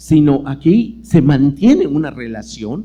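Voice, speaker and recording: A man with a Yucatán accent speaks at a fairly high pitch, his tone dark and mellow and his intonation lively. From Yucatán peninsula, Mexico. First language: Yucatec Maya (speaking Spanish). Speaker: lecturer and writer. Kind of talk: lecture. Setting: auditorium with audience. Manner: conversational with many fillers.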